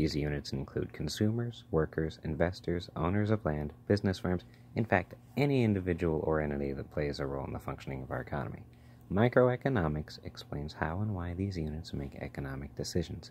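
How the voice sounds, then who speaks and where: Soft-spoken and fairly quick, a man talks with lively intonation at a very deep, low pitch. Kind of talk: ASMR textbook reading.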